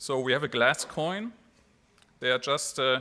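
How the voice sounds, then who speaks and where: Speaking at a moderate pace, a man with a German accent uses lively intonation. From Germany. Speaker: mayor. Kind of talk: speech. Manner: halting.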